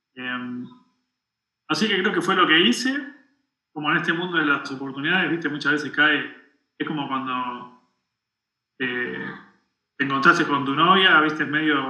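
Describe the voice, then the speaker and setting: In a room with audible echo, a man speaks fairly slowly at a fairly high pitch, with a bright, sharp tone and ordinary pitch variation. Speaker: tech engineering director. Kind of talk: interview. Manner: halting.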